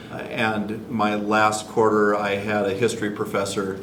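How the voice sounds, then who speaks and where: With an American accent, a man speaks in a flat monotone at a fairly low pitch, with audible room echo and noticeable background noise. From US Pacific Northwest, Washington. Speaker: high school teacher. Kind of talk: interview self-introduction.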